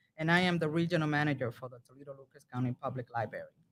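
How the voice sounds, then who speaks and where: A woman speaks at a very fast pace with a very deep, low pitch, ordinary pitch variation, and a Spanish accent. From Dominican Republic. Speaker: library regional manager. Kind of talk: interview. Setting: public library.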